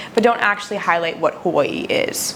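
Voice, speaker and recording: A woman's fairly quick speech comes with noticeable background noise. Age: 20s. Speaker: podcast host. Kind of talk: personal monologue.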